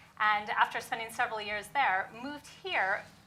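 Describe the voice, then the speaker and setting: A woman with an American accent, fairly high pitch and fairly quick pace, amid audible room echo. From US. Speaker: venture capital investor. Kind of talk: panel discussion. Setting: conference stage with audience.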